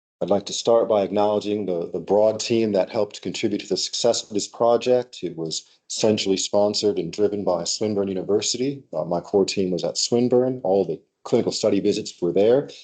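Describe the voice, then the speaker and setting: A man with a slight American accent, fairly low pitch and a dark, mellow tone, at a fairly quick pace with fairly even intonation. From United States. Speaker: researcher presenting PhD work. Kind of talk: academic seminar talk. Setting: seminar room with hybrid online audience.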